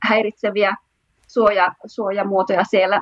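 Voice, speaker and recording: A fairly high-pitched woman at a fairly slow pace, with fairly even intonation. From Finland, Oulu. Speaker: patent attorney. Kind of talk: panel discussion. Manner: hesitant, many fillers.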